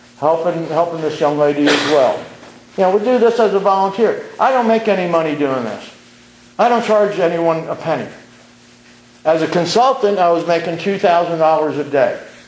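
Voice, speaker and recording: With audible room echo and noticeable background noise, a man with an American accent speaks in a high voice at a moderate pace with ordinary pitch variation. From Brooklyn, New York. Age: 60s. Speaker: community activist speaker. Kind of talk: public speech at community meeting. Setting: community meeting.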